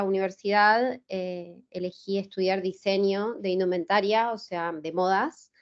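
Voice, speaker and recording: A woman's medium-pitched voice with an Argentine accent, fairly even intonation and a fairly slow pace. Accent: Rioplatense Argentine Spanish. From Argentina, Buenos Aires. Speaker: illustrator. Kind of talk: interview. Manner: hesitant, many fillers.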